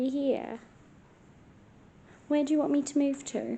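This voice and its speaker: In an English accent, a woman whispers quietly at a moderate pace. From England. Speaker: paranormal investigator vlogger. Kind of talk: paranormal investigation vlog, calling out to spirits. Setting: hotel room at night. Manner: whispering, quiet.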